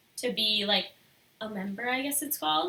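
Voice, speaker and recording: This is a woman's voice. Her pitch is fairly high. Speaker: photographer and artist. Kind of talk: live stream Q&A. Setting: live stream video. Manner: soft-spoken.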